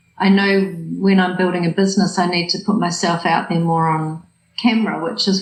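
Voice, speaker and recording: The speaker has a New Zealand accent. The pace is moderate. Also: woman. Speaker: coach and hypnotherapist. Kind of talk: coaching session.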